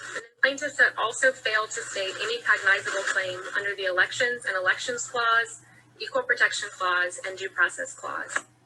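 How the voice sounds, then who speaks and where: Noticeable background noise accompanies a woman with a fairly high pitch. She talks at a moderate pace with ordinary pitch variation. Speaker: lawyer. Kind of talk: court argument. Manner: formal.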